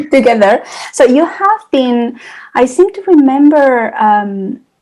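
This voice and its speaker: A woman speaks in a Spanish accent with a high pitch and very wide pitch swings. Her pace is very slow. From Spain. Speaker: podcast host. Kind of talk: interview.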